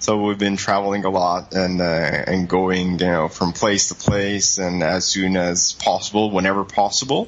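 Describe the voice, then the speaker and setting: Against noticeable background noise, a man talks at a moderate pace with hardly any pauses, his very deep, low pitch delivered in a monotone, flat intonation at very even loudness. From Italy. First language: Italian. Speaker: travel blogger. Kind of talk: interview. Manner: hesitant, many fillers.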